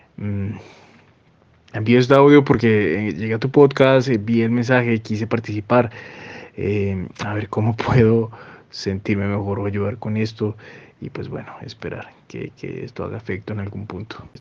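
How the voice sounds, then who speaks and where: Against noticeable background noise, a man with a fairly low pitch and fairly even intonation shows big swings in loudness. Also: fairly slow pace. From Colombia, Cauca. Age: 20s. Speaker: listener sending voice message. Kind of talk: recorded voice message. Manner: halting, many fillers.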